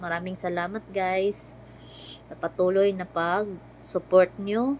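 The woman's voice is medium in pitch and flat and monotone. She speaks fairly slowly. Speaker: family vlogger. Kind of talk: casual vlog narration. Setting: shopping mall. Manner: chatty, laughing.

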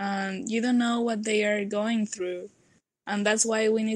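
A woman with a Mexican accent speaks in a flat, monotone intonation. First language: Spanish. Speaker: nanotechnology student. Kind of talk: podcast interview answer. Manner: relaxed.

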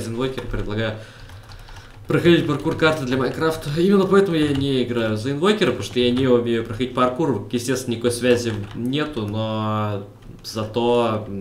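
Speaking at a fairly quick pace, a man uses a medium pitch with ordinary variation. Noticeable background noise and audible room echo are present. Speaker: gaming video creator. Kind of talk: let's play commentary. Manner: animated.

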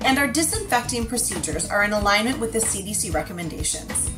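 A woman speaks fairly quickly while clear music plays behind her. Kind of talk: promotional announcement. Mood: upbeat, reassuring. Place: office. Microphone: webcam.

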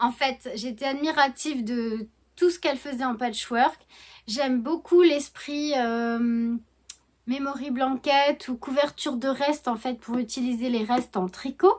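Her pitch is high, with ordinary variation. The woman speaks at a fairly slow pace. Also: quiet background. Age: 40s. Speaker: knitting and sewing vlogger; sewing vlogger. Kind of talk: casual vlog chat. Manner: hesitant, many fillers. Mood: warm, cheerful. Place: home room. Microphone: phone near.

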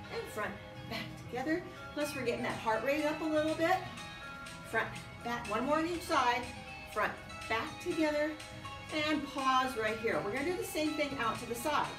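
Over clear music in the background, the speech moves at a moderate pace with ordinary pitch variation and long, frequent pauses. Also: woman. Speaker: exercise instructor. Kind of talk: fitness class instruction. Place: gym. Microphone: camera far.

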